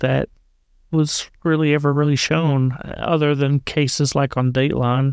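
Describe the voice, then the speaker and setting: On a very clean recording with a silent background, a man with a fairly high voice speaks at a fairly slow pace in a monotone, flat delivery. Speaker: podcast co-host. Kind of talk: casual chat. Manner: slow talker; halting, struggles to find words.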